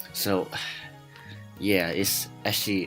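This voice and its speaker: Music plays in the background behind a man. His pitch is very deep and low, and he talks at a fairly slow pace. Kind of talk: card game deck explanation. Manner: hesitant, many fillers.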